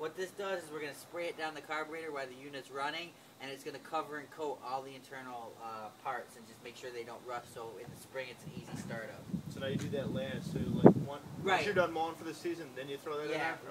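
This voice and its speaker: A man talks at a very fast pace. Loud background noise runs underneath. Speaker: tool video host. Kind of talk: tutorial. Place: street. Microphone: camera far.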